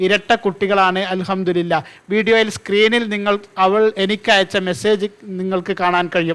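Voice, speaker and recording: A man's high-pitched voice with flat, monotone intonation. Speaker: fertility and pregnancy advice YouTuber. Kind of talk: monologue to camera, advice talk.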